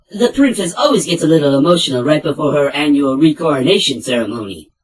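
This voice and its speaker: A put-on character voice at a low-to-middle pitch rattles along at a very fast pace. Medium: dub.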